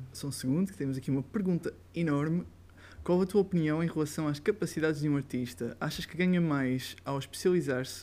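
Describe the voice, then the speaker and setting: Fairly quick delivery, captured in a very clean recording against a silent background. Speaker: live stream host. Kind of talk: interview on a live stream.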